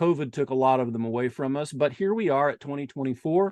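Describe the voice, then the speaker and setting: Man with an Indiana accent, a quiet background, and a dry, close sound with no echo. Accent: Indiana (Midwestern). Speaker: eclipse chaser and website owner. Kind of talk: presentation. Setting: video call. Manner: halting.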